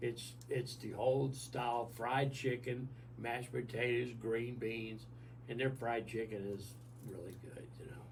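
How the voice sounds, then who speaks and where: A man speaks at a moderate pace with a medium pitch and vocal fry. His intonation is monotone and flat, and the room echo is audible. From US South. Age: 70s. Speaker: senior living resident. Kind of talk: radio interview.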